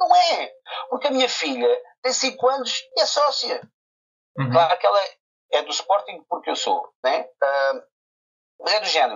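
Pausing long and often, a man talks at a moderate pace. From Portugal, Barreiro. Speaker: football video commentator. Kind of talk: casual chat.

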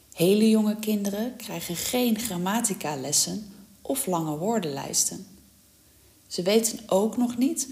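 A woman speaks at a fairly slow pace in a fairly high pitch with lively intonation. Noticeable background noise sits behind her. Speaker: language teacher. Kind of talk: tutorial. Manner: clear.

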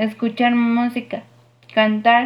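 Very slow and somewhat breathy, a woman with a Mexican accent talks at a fairly high pitch with monotone, flat intonation. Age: 20s. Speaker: university student. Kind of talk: class presentation.

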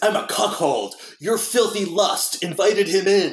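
A man uses a put-on character voice that is nasal and high-pitched. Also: moderate pace. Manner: in-his-head movie impression.

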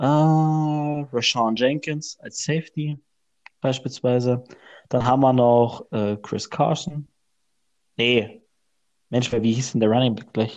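Against a quiet background, the speech moves at a very slow pace with fairly even intonation and long, frequent pauses. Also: man, medium pitch for a man. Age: 20s. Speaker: podcast co-host. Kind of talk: casual chat.

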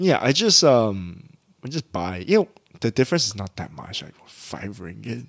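A man speaks at a moderate pace with a fairly low pitch, very wide pitch swings and big swings in loudness. The sound is dry and close, with no echo. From Malaysia. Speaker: podcast co-host. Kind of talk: casual chat.

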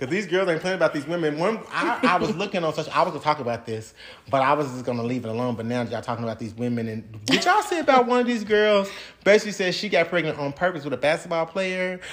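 Very fast speech over noticeable background noise. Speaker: podcast co-host. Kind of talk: casual chat.

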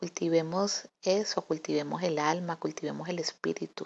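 This woman has a fairly low pitch with ordinary pitch variation. She talks at a fairly slow pace. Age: 40s. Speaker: podcaster. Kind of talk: reflective monologue. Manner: halting.

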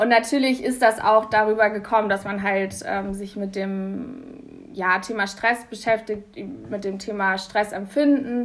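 The speaker uses a normal speaking voice at a fairly slow pace with fairly even intonation. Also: woman, fairly high pitch for a woman. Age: 20s. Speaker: university student. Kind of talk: casual interview.

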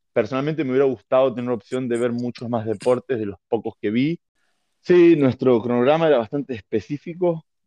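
The man has an unremarkable speaking voice. His medium pitch shows ordinary pitch variation. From Argentina. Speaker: American football referee and coach. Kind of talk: casual interview.

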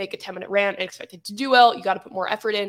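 A woman with a fairly high voice keeps her intonation fairly even. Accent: American. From United States. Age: 20s. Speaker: tech YouTuber. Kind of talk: casual chat.

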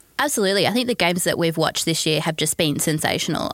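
In a very clean recording with a silent background, a woman speaks with an Australian accent, the sound dry and close with no echo. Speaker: football writer and fan. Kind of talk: casual chat. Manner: soft-spoken when angry.

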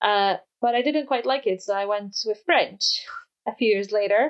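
A woman speaks with a Polish accent at a high pitch. Her pitch swings very widely. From Poland. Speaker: education researcher. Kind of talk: interview.

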